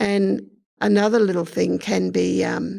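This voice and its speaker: This woman speaks very slowly at a very deep, low pitch with very wide pitch swings, a dark, mellow tone and vocal fry. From Queensland, Australia. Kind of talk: casual explanatory talk about language.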